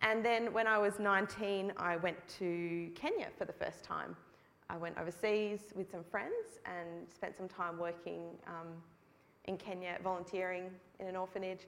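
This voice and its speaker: Speaking in an Australian accent, a woman with a medium-pitched voice talks at a fairly slow pace in a flat monotone. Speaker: hospital charity co-founder. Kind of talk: testimony. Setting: church.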